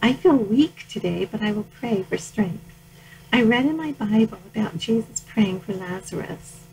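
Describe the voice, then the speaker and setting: A woman with a normal speaking voice talks at a moderate pace, her fairly high pitch carrying lively intonation. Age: 60s. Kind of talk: reading aloud from personal journal.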